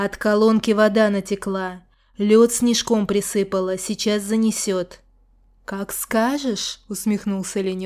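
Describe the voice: This is plain reading aloud. Nothing else is given.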